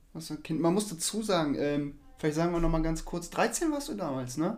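This man talks at a fairly quick pace with a high pitch, and audible room echo surrounds him. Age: 40s. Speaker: podcast co-host, stepfather in sales. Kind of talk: casual chat.

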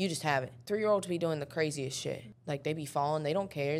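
Here a woman speaks in a low pitch at a fairly quick pace. Her pitch varies in an ordinary way.

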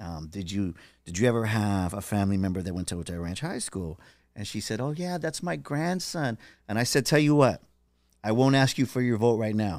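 With an American accent, a man speaks at a fairly quick pace in an unremarkable speaking voice, fairly low in pitch and with lively intonation, on a very clean recording with a silent background. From San Diego, California. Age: 50s. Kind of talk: casual chat.

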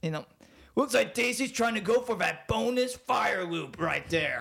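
Using a put-on character voice, a man pushes his pitch extremely high. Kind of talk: sports commentary. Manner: excited, play-by-play commentary.

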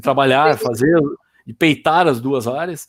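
The recording is very clean, with a silent background. The intonation sounds lively. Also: man. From Brazil, raised in Campinas. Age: 50s. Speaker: business consultant and software student. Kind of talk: casual chat. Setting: video livestream.

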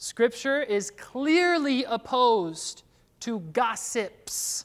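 The tone is intense. The recording is very clean, with a silent background. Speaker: pastor. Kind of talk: sermon. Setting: church. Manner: loud and intense.

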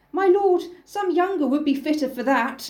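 A woman uses a put-on character voice with a high pitch. She keeps a moderate pace.

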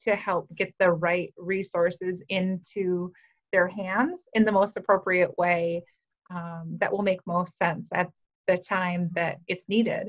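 In an American accent, a woman with an unremarkable speaking voice talks at a fairly slow pace, medium in pitch, with fairly even intonation. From rural Minnesota, US Upper Midwest. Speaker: wellness program supervisor and personal trainer. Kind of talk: interview. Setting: video call.

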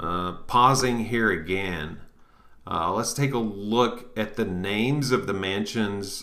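Speaking very slowly, a man uses a fairly low pitch, a bright, sharp tone and ordinary pitch variation. Audible echo fills the room. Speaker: occult podcast host. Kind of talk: reading aloud with commentary. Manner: halting.

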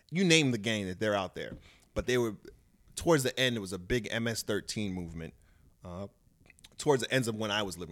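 In a New York accent, a man with a fairly low pitch talks at a fairly quick pace in an animated tone, with lively intonation, big swings in loudness, and long, frequent pauses. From Long Island, New York. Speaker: comedian and boxer. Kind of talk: casual chat.

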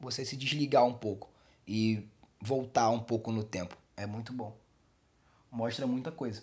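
This is a man speaking. His pace is moderate. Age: 40s. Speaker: podcast host. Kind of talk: casual podcast monologue. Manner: casual, halting.

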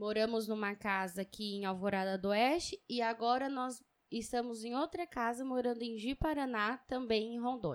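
In an ordinary speaking voice, a woman talks at a moderate pace with hardly any pauses, her fairly high pitch varying in an ordinary way on a very clean recording with a silent background. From São Paulo, East Zone. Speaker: podcast co-host. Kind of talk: casual chat.

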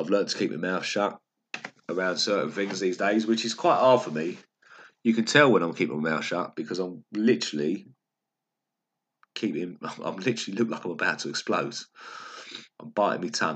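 With a Cockney accent, a man talks fairly quickly at a fairly low pitch, his intonation lively and broken by long, frequent pauses. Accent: fake Cockney. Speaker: personal trainer and podcaster. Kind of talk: personal monologue. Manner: upbeat.

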